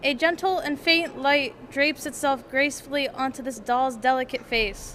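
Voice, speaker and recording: A woman with a high pitch talks at a moderate pace and ordinary pitch variation, with noticeable background noise behind her. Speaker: art student. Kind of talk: reading aloud. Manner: soft-spoken.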